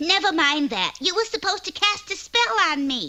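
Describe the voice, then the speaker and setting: In a cartoonish character voice, a squeaky, female-sounding speaker talks at a moderate pace with an extremely high pitch. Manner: pushy, eager.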